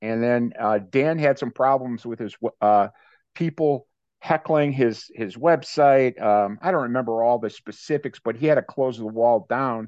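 The speaker is a man with an American accent and a normal speaking voice. He talks at a moderate pace and medium pitch with ordinary pitch variation. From US Midwest, Cleveland, Ohio. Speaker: leadership coach and author. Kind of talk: interview.

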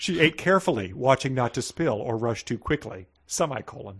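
This is a natural reading voice. The words are simply read.

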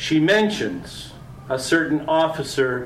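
Over noticeable background noise, a man with a Canadian accent speaks at a very slow pace. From Southwestern Ontario, farm. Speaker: poet. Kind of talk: poetry reading. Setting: restaurant event with audience.

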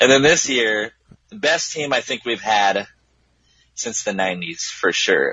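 The speaker goes at a fairly slow pace, leaving long, frequent pauses. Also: man. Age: 20s. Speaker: musician. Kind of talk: casual chat.

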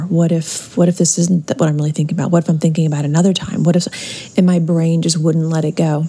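Against noticeable background noise, a woman talks at a fairly low pitch with ordinary pitch variation. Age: 50s. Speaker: listener submitting question. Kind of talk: recorded voice message, personal account. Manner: halting, with fillers.

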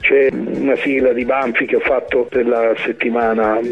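Music plays in the background. Over it, a man talks with a Tuscan accent. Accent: Tuscan, still noticeable. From southern Italy, raised in Tuscany. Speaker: composer and music producer. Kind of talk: radio interview.

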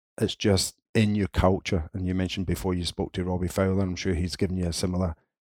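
A man with a Scottish accent talks very fast in a very deep, low pitch and a monotone, flat intonation. The recording is very clean and silent behind him, with a dry, close sound and no echo. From Scotland, Linwood (Renfrewshire). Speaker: football coaching director. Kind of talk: interview.

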